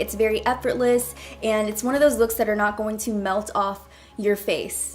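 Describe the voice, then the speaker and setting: At a moderate pace, a woman with a fairly high pitch keeps her intonation fairly even amid noticeable background noise. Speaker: beauty youtuber. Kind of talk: makeup tutorial. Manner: casual, chatty.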